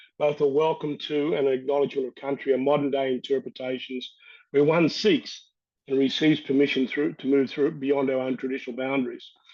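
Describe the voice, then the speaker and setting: In an Australian accent, a man speaks fairly quickly at a fairly high pitch with fairly even intonation. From Australia, north-west New South Wales. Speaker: First Nations water expert, panel speaker. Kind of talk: webinar talk.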